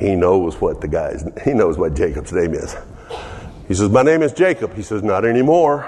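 With an American accent, a man speaks at a moderate pace over noticeable background noise. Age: 70s. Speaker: pastor. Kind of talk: sermon. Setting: church.

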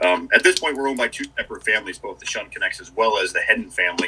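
A man talks at a very fast pace with an American accent. There is noticeable background noise. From US Northeast, Dutchess County, New York. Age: 40s. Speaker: ski area manager. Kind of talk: casual interview. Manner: halting, many fillers.

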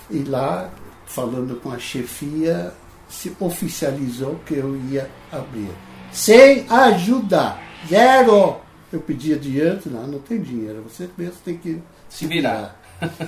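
This man talks very slowly at a fairly high pitch. His pitch swings very widely and his loudness rises and falls in big swings. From Netherlands. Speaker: financial planning pioneer. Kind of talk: interview storytelling. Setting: at his home.

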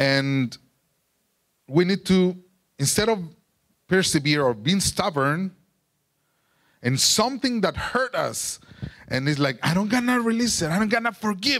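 At a fairly slow pace with long, frequent pauses, a man in a Mexican accent uses a high pitch with very wide pitch swings and very even loudness. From Mexico. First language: Spanish. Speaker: preacher sharing testimony. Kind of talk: testimony and sermon. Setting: church.

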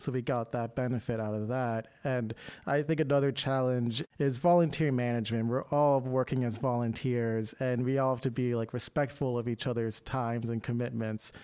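With hardly any pauses, a man speaks at medium pitch in a dark, mellow tone and fairly even intonation. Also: moderate pace. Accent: American. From Maryland, Baltimore County. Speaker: preservation advocate. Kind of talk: interview. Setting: studio.

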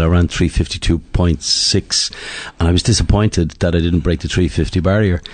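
In an Irish accent, a man with a very deep, low pitch speaks at a moderate pace with fairly even intonation. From Ireland (Dublin). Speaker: retired middle-distance runner. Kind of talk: interview.

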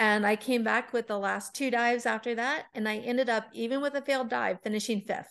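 A woman with an unremarkable speaking voice, fairly high-pitched, at a fairly quick pace with hardly any pauses and fairly even intonation, against a quiet background. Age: 40s. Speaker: masters diving organizer and diver. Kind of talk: interview.

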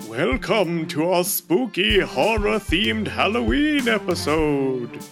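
A man puts on a character voice, high-pitched with very wide pitch swings. He speaks fairly slowly over clear music in the background. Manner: spooky, theatrical.

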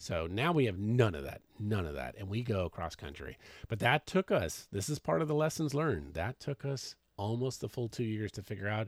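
A man with an American accent speaks loudly at a fairly low pitch, swinging very widely up and down. The recording is very clean, with a silent background and a dry, close sound with no echo. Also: moderate pace. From Washington State. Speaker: podcast co-host, full-time RVer. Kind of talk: casual chat. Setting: in an RV.

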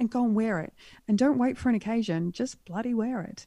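A woman speaks with an Australian accent. Her tone is dark and mellow, with ordinary pitch variation. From Western Australia, rural wheatbelt. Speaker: wardrobe stylist and art model. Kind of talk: casual chat.

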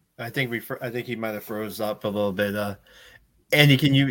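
A man's normal speaking voice, fairly quick pace, fairly even intonation. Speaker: podcast host. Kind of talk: casual chat. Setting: video call.

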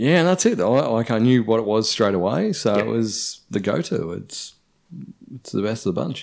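This man's intonation is lively. He has an Australian accent. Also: medium pitch for a man, moderate pace, very clean recording, silent background. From Shepparton, regional Victoria, Australia. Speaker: former TV presenter, blind tasting winner. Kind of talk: casual chat.

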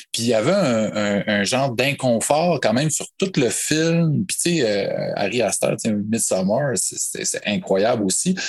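A man with a Quebec accent speaks at a very slow pace, at medium pitch, with hardly any pauses. His pitch swings very widely. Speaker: podcast guest, horror film fan. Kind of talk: casual chat.

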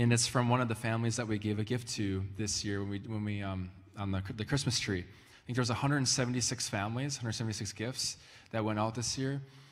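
Audible room echo surrounds a man who talks very fast at medium pitch with fairly even intonation. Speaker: pastor. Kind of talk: church announcements. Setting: church with audience. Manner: casual, halting.

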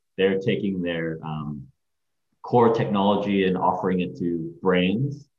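Very deep and low, a man's voice with an American accent moves at a fairly slow pace with ordinary pitch variation and audible room echo. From Hong Kong, then California Bay Area. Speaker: agency CEO and creative director. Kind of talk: interview. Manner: hesitant, many fillers.

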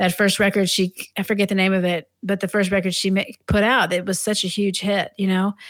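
In a very clean recording with a silent background, a woman with an American accent and an unremarkable speaking voice talks at a medium pitch and moderate pace with fairly even intonation. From Maryland, outside Washington DC. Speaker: jazz drummer and composer. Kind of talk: interview.

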